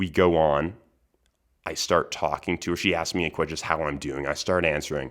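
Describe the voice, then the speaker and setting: In a very clean recording with a silent background, a man with a very deep, low pitch speaks at a fairly quick pace in a monotone, flat intonation. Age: 20s. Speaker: podcast host. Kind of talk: casual monologue.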